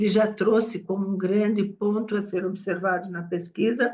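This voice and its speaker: This woman's voice sits at a medium pitch, with a dark, mellow tone and flat, monotone intonation. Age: 70s. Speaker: cause communication professional. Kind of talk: meeting discussion remarks.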